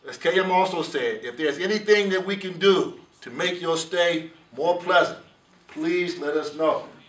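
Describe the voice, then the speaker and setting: A man with an American accent speaks at a high pitch with fairly even intonation. His loudness swings widely, and the room echo is audible. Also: moderate pace. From United States. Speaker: program director of a law enforcement training academy. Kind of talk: welcome address to a class. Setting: in-person address to a class. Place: meeting room. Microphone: camera far.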